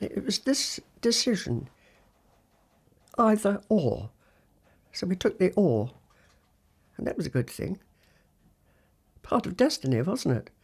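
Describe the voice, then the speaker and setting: Speaking at a fairly slow pace with long, frequent pauses, a woman with a West Country accent uses a medium pitch, very wide pitch swings and vocal fry. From Gloucestershire, England. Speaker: Second World War veteran, former WAAF officer. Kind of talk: oral history interview answer.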